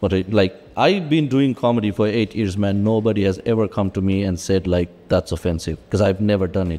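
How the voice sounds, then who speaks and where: A man speaks in a dark, mellow tone at a fairly quick pace. He hardly pauses at all. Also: fairly low pitch for a man, ordinary pitch variation. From Sri Lanka. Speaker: stand-up comedian. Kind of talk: casual chat. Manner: halting, many fillers and repeats; animated.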